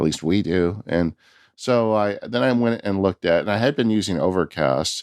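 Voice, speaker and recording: A man with a plain, everyday voice, fairly low in pitch, lively intonation, very even loudness and a moderate pace, in a dry, close sound with no echo against a quiet background. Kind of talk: casual chat.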